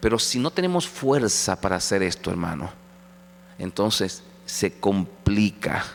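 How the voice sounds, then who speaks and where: At a fairly slow pace, a man with a fairly low pitch speaks with ordinary pitch variation. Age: 50s. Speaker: pastor. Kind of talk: sermon. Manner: halting.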